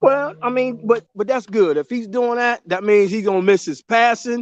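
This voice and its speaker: A man's high-pitched voice comes through dry and close, with no echo. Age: 50s. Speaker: caller, father of co-host. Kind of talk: casual chat.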